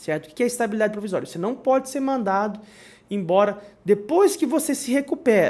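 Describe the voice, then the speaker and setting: A man with a high pitch, lively intonation and a fairly quick pace. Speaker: lawyer. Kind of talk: legal explainer video. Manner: halting, many fillers.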